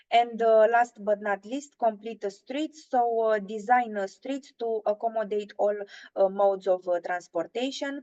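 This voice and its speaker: Speaking with a Romanian accent, a woman uses a fairly high pitch and a dark, mellow tone. Her pace is fairly slow, with ordinary pitch variation. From Romania, Bucharest. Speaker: intern presenting at a webinar. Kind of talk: webinar presentation. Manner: halting, many filler sounds.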